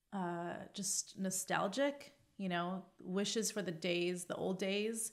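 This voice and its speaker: A woman with a Californian accent speaks very slowly at a medium pitch, her intonation fairly even and her loudness very even. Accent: General American, Californian. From US West Coast, Los Angeles. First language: Arabic. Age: 40s. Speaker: epidemiologist and science communicator. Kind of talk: podcast interview. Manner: many fillers (um, uh).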